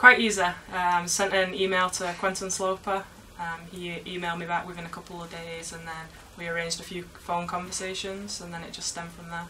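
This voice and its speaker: Amid noticeable background noise and audible room echo, a woman speaks at a fairly quick pace and a fairly low pitch, with monotone, flat intonation and big swings in loudness. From England, Manchester. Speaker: university footballer. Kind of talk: interview.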